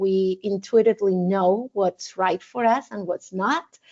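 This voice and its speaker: In a Spanish accent, a woman speaks at a fairly slow pace with medium pitch and ordinary pitch variation. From Argentina. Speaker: wedding officiant and mindfulness teacher. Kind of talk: interview podcast. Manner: halting, many fillers and repetitions.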